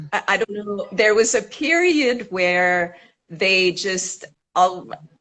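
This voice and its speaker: Very slowly, a woman with a French-Canadian accent speaks in a bright, sharp tone at a medium pitch, with ordinary pitch variation. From French Canada. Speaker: actor and teacher. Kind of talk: interview.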